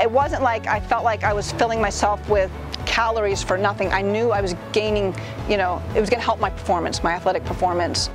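A woman at a fairly quick pace, with clear music in the background and a dry sound with no echo. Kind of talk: interview answer. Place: forest. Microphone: lapel.

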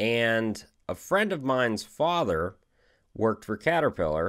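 A man with a fairly low pitch and a fairly bright tone speaks at a fairly slow pace, with big pitch swings. The recording is very clean and the background silent.

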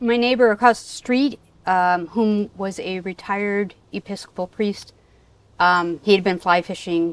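The sound is dry with no echo as a woman speaks at a fairly slow pace with ordinary pitch variation. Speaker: fishing guide. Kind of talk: interview answer. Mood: relaxed, laughing at times. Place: garden.

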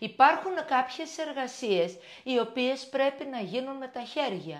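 A woman with a high voice talks at a fairly slow pace, her intonation lively against a quiet background. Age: 60s. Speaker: shop owner and vlogger; vlogger. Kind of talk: casual vlog monologue. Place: kitchen. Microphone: lapel.

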